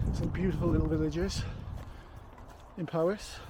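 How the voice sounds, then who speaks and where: Over noticeable background noise, a man with a South Welsh accent speaks at a moderate pace. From Wales. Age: 50s. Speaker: trail runner vlogger. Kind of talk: solo vlog narration on the move. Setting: outdoors on hill trails.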